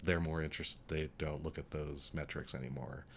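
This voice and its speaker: This man has a very deep, low voice. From New Mexico, Albuquerque. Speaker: art museum director. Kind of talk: interview.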